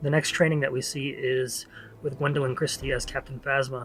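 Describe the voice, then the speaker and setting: A man with a fairly high pitch speaks at a fairly quick pace. His intonation is monotone and flat, with music in the background. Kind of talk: casual talk to camera, movie trailer analysis.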